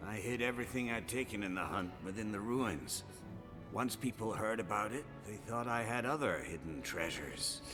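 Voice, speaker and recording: Over loud music in the background, a man does a put-on character voice with a weary tone, a fairly low pitch and a moderate pace. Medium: video game. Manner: weary, grumbling.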